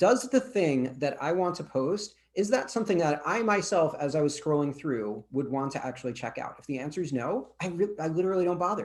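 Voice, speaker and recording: A high-pitched man speaks with very wide pitch swings. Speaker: LinkedIn and social media expert. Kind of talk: guest presentation in virtual networking meeting. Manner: fast.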